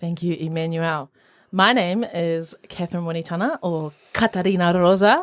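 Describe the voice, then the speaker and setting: Moderate-paced speech from a woman with a fairly low pitch. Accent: New Zealand. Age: 20s. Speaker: opera singer. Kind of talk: casual chat. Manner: animated.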